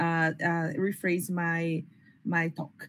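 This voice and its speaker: Somewhat breathy, a woman speaks with a Brazilian Portuguese accent on a very clean recording with a silent background. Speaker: biomedical informatics researcher at a hospital. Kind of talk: panel presentation. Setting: workshop round table with audience.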